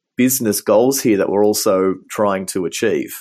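A man in an Australian accent talks with ordinary pitch variation on a very clean recording with a silent background. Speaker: business design director. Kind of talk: interview.

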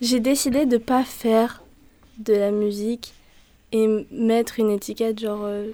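The woman's pitch sits fairly high. Her pace is fairly slow. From southern France, Var (Saint-Maximin). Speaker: singer-songwriter. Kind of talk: interview.

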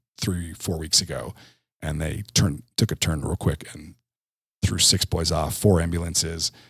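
A man's very deep, low voice in an American accent, fairly even in intonation, at a moderate pace. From New Jersey. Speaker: tech company executive. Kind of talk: interview. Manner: casual, conversational with fillers.

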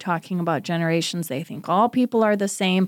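Dry and close with no echo, this very clean recording with a silent background captures a woman with an unremarkable speaking voice, medium pitch and ordinary pitch variation. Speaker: podcast host. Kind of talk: casual interview.

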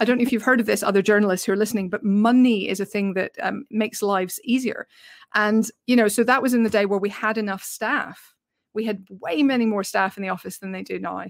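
With a British accent, a woman speaks at a very fast pace with a fairly high pitch and fairly even intonation. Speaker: film journalist and podcaster. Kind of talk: casual interview chat. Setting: video call.

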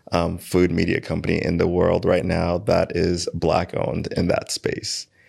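A man with a New York accent talks at a fairly slow pace with a very deep, low pitch. The recording is very clean with a silent background. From Queens, New York. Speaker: digital marketing and video production company owner. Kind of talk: casual chat. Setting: podcast room.

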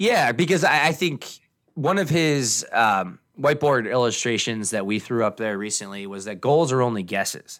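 In an American accent, a man uses a plain, everyday voice at medium pitch, moving at a moderate pace with lively intonation. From Pennsylvania mountains. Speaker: financial planner and podcast host. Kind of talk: casual chat.

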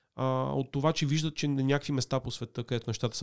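A man's very fast, medium-pitched speech with fairly even intonation and a dry, close, echo-free sound. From Sofia, Bulgaria. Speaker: digital media executive. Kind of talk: interview.

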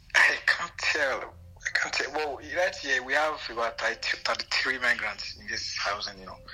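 A man speaks with hardly any pauses and big swings in loudness. Noticeable background noise runs underneath. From Nigeria. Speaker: migrant farm worker. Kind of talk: casual interview. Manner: halting.

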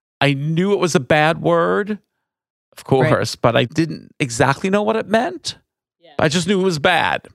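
The speaker has an American accent and an animated tone with lively intonation. The pace is moderate, and the sound is dry and close with no echo. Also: man. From New York, Long Island. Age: 60s. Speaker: wine tour owner and nonprofit director. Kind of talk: interview.

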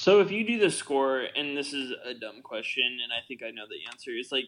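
In an ordinary speaking voice, a man of medium pitch talks at a moderate pace with lively intonation. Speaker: podcast co-host. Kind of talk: casual podcast chat about a film.

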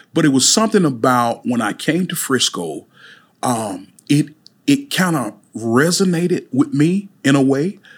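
Fairly slow in pace, a man with a Mississippi accent talks at a fairly high pitch. His pitch swings are very wide. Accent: Southern US (Mississippi). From US South, Mississippi (Amory). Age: 40s. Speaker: chef and pastor. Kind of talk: interview. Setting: studio.

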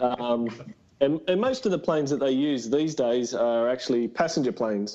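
A man with an Australian accent speaks at a moderate pace in a dark, mellow tone, medium in pitch, with ordinary pitch variation and very even loudness. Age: 20s. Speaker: reptile breeder and tradesman. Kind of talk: casual chat.

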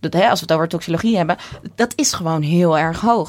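Fairly low in pitch with ordinary pitch variation, a woman talks in a plain, everyday voice. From Netherlands, Texel. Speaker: nutritionist and orthomolecular therapist. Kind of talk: interview.

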